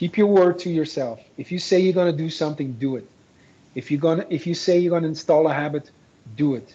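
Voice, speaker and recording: A man talks very fast in a fairly high pitch, with ordinary pitch variation. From Belgium. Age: 40s. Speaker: dating coach. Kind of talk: interview. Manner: repetitive, halting restarts.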